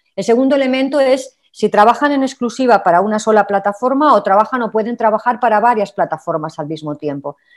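With a normal speaking voice, a woman of fairly high pitch talks at a fairly quick pace with lively intonation over a quiet background. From Spain. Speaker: labour and social protection expert; panelist. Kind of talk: webinar presentation. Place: home room. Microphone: video call.

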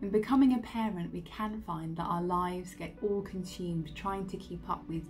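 Over faint music in the background, a woman speaks at a moderate pace with a fairly low pitch and ordinary pitch variation. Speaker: meditation guide. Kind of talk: casual introduction to meditation. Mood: calm, reassuring. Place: home room. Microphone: phone near.

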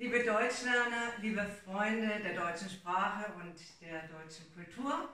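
Amid audible room echo, a woman speaks at a very slow pace with ordinary pitch variation. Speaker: language school host. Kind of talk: event announcement. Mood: friendly, welcoming. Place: home room. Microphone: camera far.

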